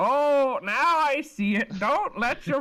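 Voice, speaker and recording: A high-pitched, put-on character voice speaks at a fairly slow pace in a cheerful tone. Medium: actual play. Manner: cheerful, rambling.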